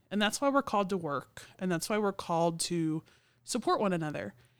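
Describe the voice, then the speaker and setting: At a fairly quick pace, a woman with an American accent speaks at medium pitch in an unremarkable speaking voice. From Oklahoma City. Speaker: church podcast co-host. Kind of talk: casual chat.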